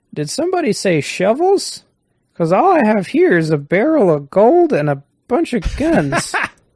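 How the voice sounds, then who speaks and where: A put-on character voice with very wide pitch swings at a moderate pace. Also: man, high pitch for a man. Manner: crotchety.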